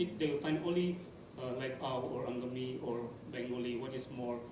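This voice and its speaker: With noticeable background noise and audible room echo, a man of medium pitch speaks at a moderate pace and fairly even intonation. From Nagaland, India. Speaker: field linguist documenting endangered languages. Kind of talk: panel discussion. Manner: halting, many fillers.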